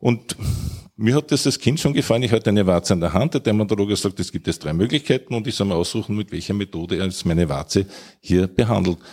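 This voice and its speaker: A man speaks at a very fast pace in a fairly low pitch, his intonation lively. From Austria, Vienna. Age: old. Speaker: physician, homeopathy society chair. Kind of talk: panel debate.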